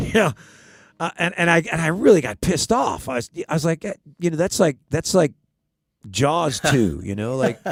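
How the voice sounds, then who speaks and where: With an American accent, a man speaks in an animated tone at a moderate pace, his fairly high voice showing vocal fry and very wide pitch swings, with long, frequent pauses in a dry, close sound with no echo. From US West, Southern California (Hollywood). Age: 60s. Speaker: country songwriter. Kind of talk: casual chat and storytelling at a songwriter round. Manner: halting, many repeated words.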